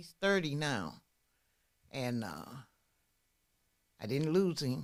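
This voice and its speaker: Vocal fry colors a woman's very deep, low pitch as she talks at a fairly slow pace. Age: 60s. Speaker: person in addiction recovery. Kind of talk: testimony. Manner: halting.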